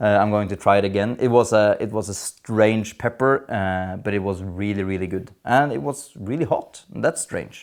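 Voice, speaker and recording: A man's fairly low voice at a moderate pace, with ordinary pitch variation and hardly any pauses. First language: not English. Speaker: gardening youtuber. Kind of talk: casual tutorial vlog. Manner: hesitant, many fillers.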